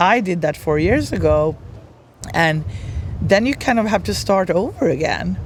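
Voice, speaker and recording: With a Swedish accent, a woman speaks at a fairly low pitch with vocal fry and very wide pitch swings. Her moderate pace is broken by long, frequent pauses. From Sweden. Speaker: brand strategist. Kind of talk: podcast interview.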